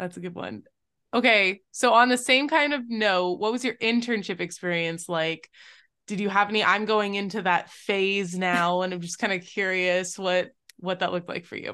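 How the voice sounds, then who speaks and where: In a quiet background, a woman with an unremarkable speaking voice talks at a moderate pace in a medium pitch with ordinary pitch variation. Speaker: podcast host, engineering student. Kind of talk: casual interview; scripted intro. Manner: upbeat.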